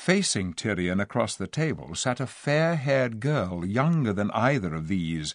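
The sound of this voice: An unforced reading voice throughout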